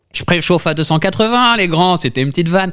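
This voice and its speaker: Very wide pitch swings from a man, on a very clean recording with a silent background. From France, Tours. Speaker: podcast host. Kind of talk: improv comedy game.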